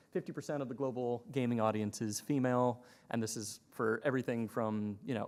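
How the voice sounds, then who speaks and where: On a very clean recording with a silent background, a man talks at a medium pitch and moderate pace with fairly even intonation. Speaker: conference panelist, innovation specialist. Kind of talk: conference presentation.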